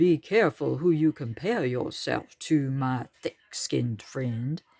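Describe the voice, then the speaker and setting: This put-on character voice sits at a low-to-middle pitch. It moves at a fairly slow pace. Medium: read story. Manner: purring, smooth.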